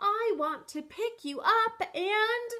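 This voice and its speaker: A squeaky, extremely high put-on character voice from a woman. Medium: read story. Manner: eager, lumbering.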